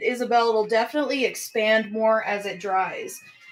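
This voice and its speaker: Over music in the background, a woman with an American accent speaks at a fairly high pitch with ordinary pitch variation. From South Texas, near Corpus Christi. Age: 40s. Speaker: live art auction host and painter. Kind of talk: live stream product demonstration. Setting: live stream.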